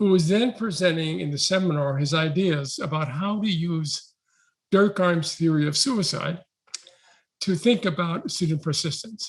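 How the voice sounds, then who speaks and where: A man with an American accent speaks fairly slowly at a high pitch. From New York City. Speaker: education researcher. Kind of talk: talk.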